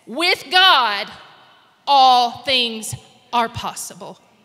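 In a raised, projected voice with lively intonation, a woman speaks over a quiet background. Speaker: guest church speaker; guest. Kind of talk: prayer and sermon. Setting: church with live and online audience. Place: church. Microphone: handheld.

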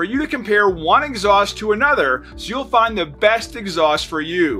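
With faint music in the background, a man speaks in a raised, projected voice at a moderate pace. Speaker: presenter. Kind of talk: scripted promotional intro. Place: studio.

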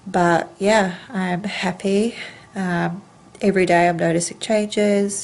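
A woman at a very slow pace with monotone, flat intonation. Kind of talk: casual vlog chat. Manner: blocked-nose voice after rhinoplasty. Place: home room. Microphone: phone near.

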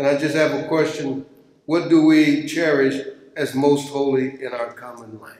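In a room with strong echo, a man speaks at a medium pitch and a fairly slow pace, with fairly even intonation and a slightly mellow tone.

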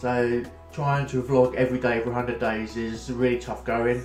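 Over faint background music, a man talks in a monotone, flat delivery, with audible room echo. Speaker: vlogger. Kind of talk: casual vlog chat. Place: home room. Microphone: phone near.

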